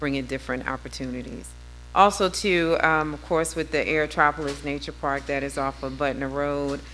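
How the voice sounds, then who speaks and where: A woman with an American accent at a fairly quick pace, with audible room echo and music in the background. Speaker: city council member. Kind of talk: council meeting remarks.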